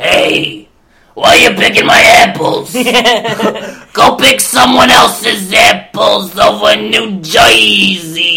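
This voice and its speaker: Fairly slow, raspy speech from a man doing a put-on character voice. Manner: grumpy, indignant.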